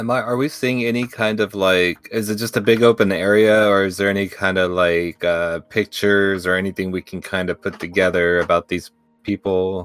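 At a moderate pace, a man talks with fairly even intonation and a fairly low pitch, the sound dry and close with no echo. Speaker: tabletop role-playing player. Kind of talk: tabletop game play. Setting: online voice call.

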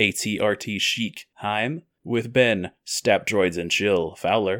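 A man with a fairly low pitch and ordinary pitch variation speaks in a normal speaking voice, the sound dry and close with no echo. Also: very clean recording, silent background. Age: 20s. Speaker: podcast host. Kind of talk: casual chat.

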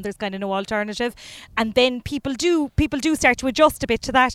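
A woman with a Cork accent talks at a very fast pace in a very clean recording with a silent background and a dry, close sound with no echo. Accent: Cork Irish. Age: 30s. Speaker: comedian. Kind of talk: casual chat.

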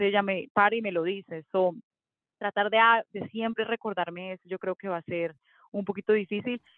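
Speaking at a fairly quick pace, a woman with medium pitch and fairly even intonation has an unremarkable speaking voice. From Colombia. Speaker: mommy blogger and former TV presenter. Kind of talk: casual interview chat.

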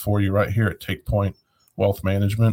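A man at a fairly low pitch and fairly quick pace, with fairly even intonation, in a very clean recording with a silent background. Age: 50s. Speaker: financial advisor radio host. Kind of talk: casual radio talk. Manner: halting.

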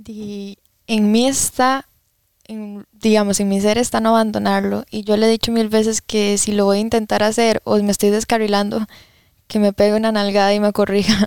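A woman's fairly high pitch in monotone, flat intonation at a moderate pace, with a dry, close sound and no echo. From Costa Rica, Alajuela. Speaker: young churchgoer. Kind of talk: casual interview.

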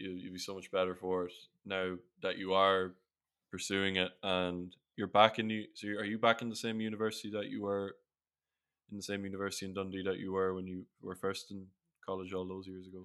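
A man with a very deep, low pitch talks at a fairly quick clip in a flat monotone, his loudness swinging widely. The recording is very clean, with a silent background. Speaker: podcast host and English teacher abroad. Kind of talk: casual chat.

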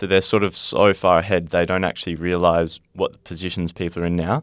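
A man with an Australian accent, his very deep, low voice flat and monotone at a fairly quick pace. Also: very clean recording, silent background. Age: 20s. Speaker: young footballer and podcaster. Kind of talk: casual chat.

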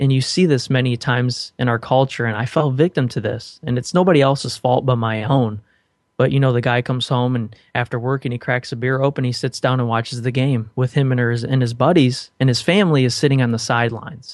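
In a quiet background, a man with an unremarkable speaking voice talks fairly quickly at medium pitch, with fairly even intonation and hardly any pauses. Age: 20s. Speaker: podcaster. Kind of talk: interview.

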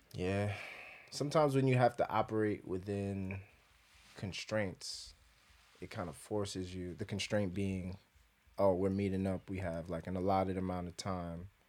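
In an American accent, the speaker uses fairly even intonation and long, frequent pauses on a very clean recording with a silent background. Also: man, very deep, low pitch for a man, moderate pace. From New York, the Bronx. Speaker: singer-songwriter. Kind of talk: casual chat.

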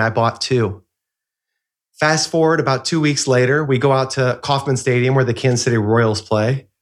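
A normal speaking voice at a moderate pace, in a very clean recording with a silent background. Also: man. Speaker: professional speaker and author. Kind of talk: interview.

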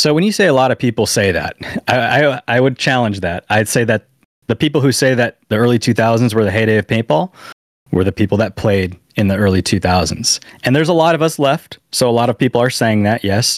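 A man with an American accent, medium pitch, lively intonation, a normal speaking voice, a fairly quick pace and very even loudness, in a dry, close sound with no echo. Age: 30s. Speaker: paintball content creator. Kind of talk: casual chat. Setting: video call.

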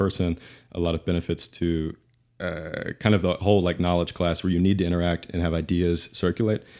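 Very fast and flat in a monotone, a man speaks with a very deep, low pitch and a dark, mellow tone. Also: very clean recording, silent background. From Tennessee. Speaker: climate housing developer. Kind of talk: casual discussion.

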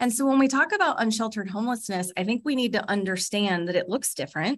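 With a Californian accent, a woman speaks in a bright, sharp tone at a fairly high pitch, her intonation lively over a quiet background. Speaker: nonprofit executive. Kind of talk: interview conversation. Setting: call.

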